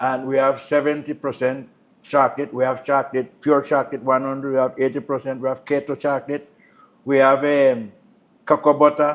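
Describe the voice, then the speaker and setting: Against a quiet background, the speaker talks at a fairly quick pace in a monotone, flat intonation. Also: man, fairly high pitch for a man. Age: old. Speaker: community elder and cooperative leader. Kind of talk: interview. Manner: halting.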